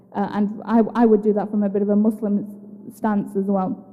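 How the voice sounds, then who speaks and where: There is noticeable background noise behind a woman speaking at a fairly high pitch. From UK. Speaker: psychiatrist. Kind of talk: educational talk. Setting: assembly hall with audience.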